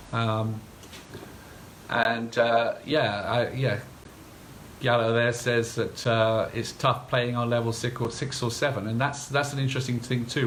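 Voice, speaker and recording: Mumbling quietly, a man with a medium pitch speaks in a monotone, flat way, with audible room echo around him. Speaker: game developer. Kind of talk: live stream talk. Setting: Facebook live stream. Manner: hesitant, many fillers; quiet, mumbling. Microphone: too quiet for some viewers.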